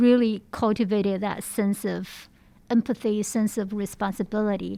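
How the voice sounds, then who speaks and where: In a very clean recording with a silent background, a woman with a slight Chinese accent talks at a fairly slow pace, her medium pitch carrying fairly even intonation. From China. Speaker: research center associate director. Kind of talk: interview.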